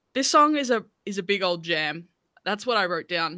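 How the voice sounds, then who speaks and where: A bright, sharp tone in an Australian accent at a moderate pace, dry and close with no echo, on a very clean recording with a silent background. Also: woman. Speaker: music podcast host. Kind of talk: casual chat.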